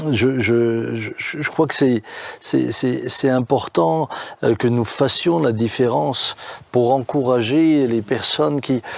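A man at medium pitch, speaking at a very slow pace. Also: ordinary pitch variation. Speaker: pastor. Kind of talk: casual chat.

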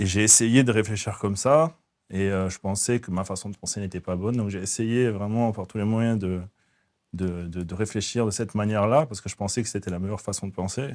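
On a very clean recording with a silent background, a man talks at a fairly quick pace in a fairly low voice with fairly even intonation. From southern France, raised from age 4 (born in the Netherlands). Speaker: faith testimony guest. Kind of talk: testimony interview. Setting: hair salon set. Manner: halting, frequent repetitions.

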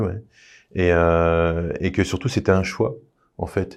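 A man's very deep, low voice at a fairly slow pace against a quiet background. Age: 30s. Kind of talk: testimony. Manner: halting.

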